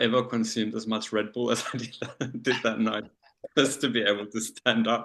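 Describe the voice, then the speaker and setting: In an Australian accent, a man speaks at a moderate pace with a bright, sharp tone and monotone, flat intonation. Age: 40s. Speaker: leather community titleholder. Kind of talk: panel discussion. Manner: halting, many fillers.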